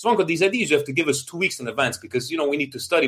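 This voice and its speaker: With lively intonation, a man speaks in a bright, sharp tone. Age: 40s. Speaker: football podcast host. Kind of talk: casual chat.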